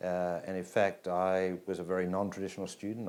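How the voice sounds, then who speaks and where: A man's very deep, low voice with an Australian accent. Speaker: business school dean. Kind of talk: personal introduction interview.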